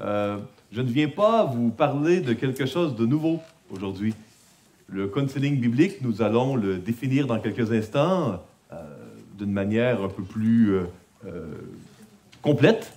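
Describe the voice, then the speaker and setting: In a room with audible echo, a man with a medium pitch and a dark, mellow tone speaks fairly slowly, using lively intonation and long, frequent pauses. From Quebec. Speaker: conference speaker on biblical counseling. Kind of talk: conference talk. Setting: conference with audience. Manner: hesitant, many filler sounds.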